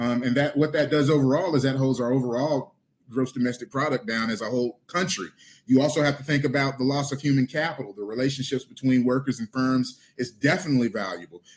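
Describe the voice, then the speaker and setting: A man with a medium pitch talks at a very fast pace, his pitch varying in an ordinary way. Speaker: city council candidate. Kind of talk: candidate forum answer.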